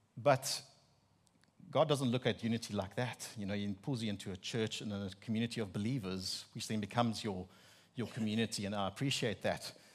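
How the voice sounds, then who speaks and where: Heard in a very clean recording with a silent background, a man with an Afrikaans South African accent speaks at a fairly low pitch with fairly even intonation. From South Africa, Free State. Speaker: preacher giving a sermon. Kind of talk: sermon. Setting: church with congregation.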